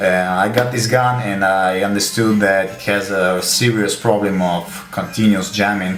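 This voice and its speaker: Over noticeable background noise and audible room echo, a man with a fairly low pitch speaks at a fairly slow pace in a monotone, flat way, with hardly any pauses. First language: Russian. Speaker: gun hobbyist. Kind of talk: tutorial. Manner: halting, many fillers.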